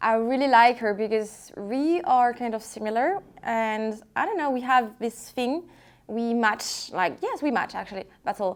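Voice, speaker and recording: Speaking at a fairly slow pace, a woman with a French accent uses a fairly high pitch and lively intonation. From France, Lyon. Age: 20s. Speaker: luxury handbag vlogger. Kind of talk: casual unboxing vlog. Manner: halting, repetitive; excited.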